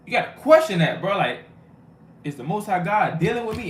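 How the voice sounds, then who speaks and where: With audible room echo behind him, a man talks at a fairly quick pace using lively intonation. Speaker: street preacher / bible teacher. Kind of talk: sermon. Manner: fast; casual, conversational.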